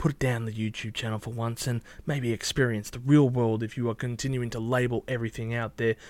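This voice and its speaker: The speech comes very fast in an Australian accent with fairly even intonation. The recording is very clean, with a silent background. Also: man. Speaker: YouTube music reviewer. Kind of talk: casual monologue responding to comments.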